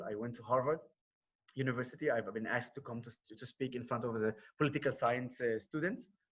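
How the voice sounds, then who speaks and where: Talking at a very fast pace, a man with an Arabic accent uses a medium pitch, a somewhat breathy voice and fairly even intonation. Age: 30s. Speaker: war veteran and non-profit founder. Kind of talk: presentation on conference call. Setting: video call. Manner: halting.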